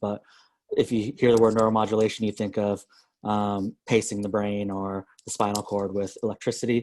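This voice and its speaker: At a moderate pace, the voice runs in a monotone, flat intonation over a quiet background. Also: man. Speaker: startup mentor and former accelerator managing director. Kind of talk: guest lecture in online class.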